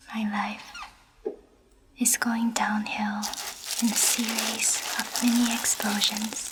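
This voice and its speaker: A woman's fairly high voice at a very slow pace, flat and monotone, against noticeable background noise. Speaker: ASMR artist and virtual festival guide. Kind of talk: ASMR reading of literary text.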